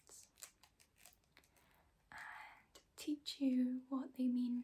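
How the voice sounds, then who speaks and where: Whispering at a very slow pace. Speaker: ASMR creator. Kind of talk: ASMR poetry reading, soft-spoken and whispered. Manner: whispering, soft-spoken.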